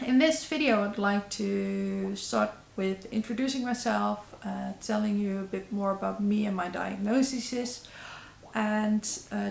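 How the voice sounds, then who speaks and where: In a Dutch accent, a woman speaks at a fairly slow pace over noticeable background noise. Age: 30s. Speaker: YouTuber. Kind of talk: vlog. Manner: halting.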